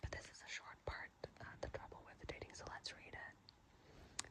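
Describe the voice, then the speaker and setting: Through noticeable background noise, a woman can be heard whispering at a moderate pace. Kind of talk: asmr reading. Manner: soft-spoken, casual.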